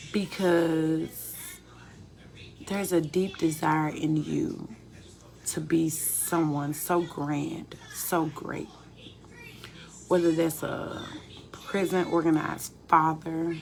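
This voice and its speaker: Amid noticeable background noise, a woman with a fairly low pitch speaks at a very slow pace in monotone, flat intonation, with long, frequent pauses. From US South, Memphis, Tennessee. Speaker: spiritual life coach. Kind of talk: live stream monologue. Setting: at home in kitchen. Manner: low, calm speaking.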